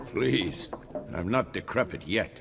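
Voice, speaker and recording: A man's raspy, fairly low-pitched put-on character voice over clear background noise. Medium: video game. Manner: gruff, dry.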